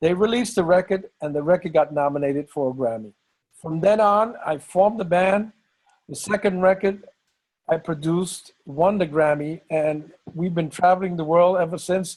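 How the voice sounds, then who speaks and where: With a strong New York accent, a man speaks at a moderate pace in a high pitch, his pitch varying in an ordinary way. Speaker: bandleader and musician. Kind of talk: interview.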